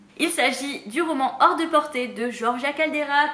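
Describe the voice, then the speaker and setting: In a high voice with ordinary pitch variation, a woman speaks. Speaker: booktuber. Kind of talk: casual talk to camera.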